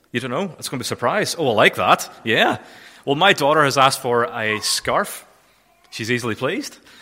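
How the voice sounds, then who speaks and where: A bright, sharp tone with a Northern Irish accent, very wide pitch swings and a fairly quick pace. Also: man. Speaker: charity volunteer manager. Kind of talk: church talk. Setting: church.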